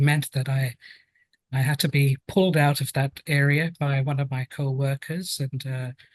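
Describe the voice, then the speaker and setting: Speaking at a moderate pace, a man with a British accent sounds somewhat breathy and fairly high, in a dry, close sound with no echo. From London, England. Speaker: occupational health and safety specialist. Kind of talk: podcast interview.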